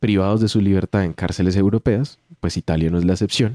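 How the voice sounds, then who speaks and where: A man with a Colombian accent speaks at a fairly low pitch in a dark, mellow tone. The recording is very clean with a silent background, and the sound is dry and close with no echo. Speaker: theatre arts teacher. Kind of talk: radio interview.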